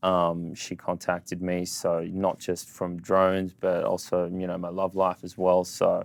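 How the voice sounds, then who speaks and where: A man with an Australian accent, very deep and low in pitch, monotone and flat, at a fairly slow pace on a very clean recording with a silent background. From Australia, Sydney. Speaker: social media entrepreneur. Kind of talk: casual interview. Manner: casual, filler-heavy.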